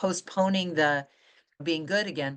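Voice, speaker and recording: A woman with a plain, everyday voice speaks at a moderate pace in a fairly low pitch, with ordinary pitch variation and a quiet background. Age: 60s. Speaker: author and weight-loss coach. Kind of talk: interview conversation.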